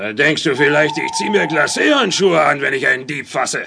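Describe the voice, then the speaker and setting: A man puts on a gruff character voice. His pitch is fairly high and his pace moderate. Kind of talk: children's radio play acting. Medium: audio drama. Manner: gruff, mocking, gloating.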